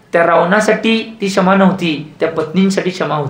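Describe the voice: The voice has a fairly bright tone and ordinary pitch variation at a moderate pace, with audible room echo. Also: man.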